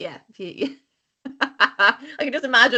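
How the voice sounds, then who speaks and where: A woman with an Irish accent speaks with lively intonation. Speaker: podcast co-host. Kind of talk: casual chat.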